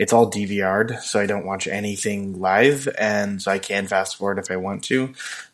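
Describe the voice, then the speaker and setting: A man talks with an American accent. His pitch is fairly low. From Southern California. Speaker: podcast co-host. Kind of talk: casual chat.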